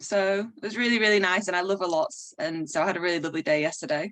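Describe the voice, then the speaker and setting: A woman's very fast speech in a northern English accent, medium in pitch with ordinary pitch variation. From northern England, Manchester. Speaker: DJ and graphic artist. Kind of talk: casual interview chat. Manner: fast, animated.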